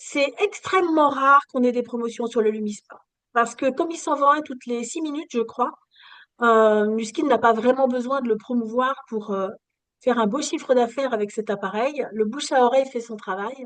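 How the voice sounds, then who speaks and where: A woman speaks at a high pitch and a moderate pace, with ordinary pitch variation. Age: 60s. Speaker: skincare product distributor. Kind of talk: sales pitch. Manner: animated.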